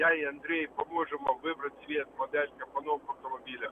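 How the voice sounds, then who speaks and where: Speaking rather quickly, a man can be heard against noticeable background noise. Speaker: car dealer. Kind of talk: radio ad. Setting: phone call.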